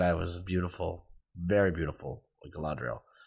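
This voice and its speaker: In a very clean recording with a silent background, a man with an American accent talks at a moderate pace. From Florida. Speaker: television writer and producer, former theme park performer. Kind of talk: casual chat. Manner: animated.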